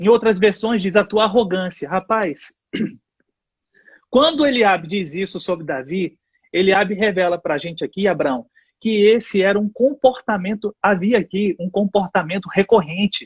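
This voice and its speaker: At a moderate pace, a man talks with high pitch and ordinary pitch variation. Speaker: church leader. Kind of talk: casual chat with bible teaching.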